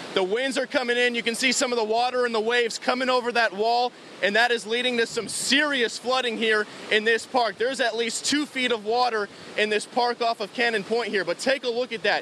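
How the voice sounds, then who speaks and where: Over noticeable background noise, a man uses a raised, projected voice at an extremely high pitch, talking at a fairly quick pace with fairly even intonation. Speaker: TV news reporter. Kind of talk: live news field reporting. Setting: outdoors on location. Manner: urgent, shouting at times.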